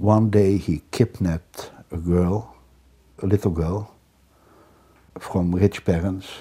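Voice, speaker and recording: A man speaks with a very deep, low pitch and a dark, mellow tone, somewhat breathy. His pace is very slow, with fairly even intonation and long, frequent pauses. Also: very clean recording, silent background. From Netherlands. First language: Dutch. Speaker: criminologist. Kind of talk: interview. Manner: halting.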